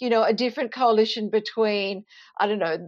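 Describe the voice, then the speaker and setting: A woman speaks in an Australian accent at a moderate pace. Her pitch is medium. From Queensland, Australia (Toowoomba). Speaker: journalist and author. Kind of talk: interview.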